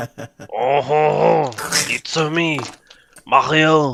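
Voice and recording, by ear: Using a put-on character voice, a man talks at a very slow pace in a fairly high pitch.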